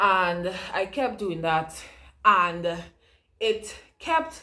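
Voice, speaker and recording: There is audible room echo around a woman whose bright, sharp tone carries lively intonation. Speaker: online educator and entrepreneur. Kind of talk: casual vlog tutorial. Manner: conversational, chatty.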